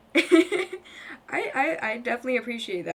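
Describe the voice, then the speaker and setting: Moderate pacing over noticeable background noise. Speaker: gaming streamer. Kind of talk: casual chat. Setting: live stream. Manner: halting, stuttering.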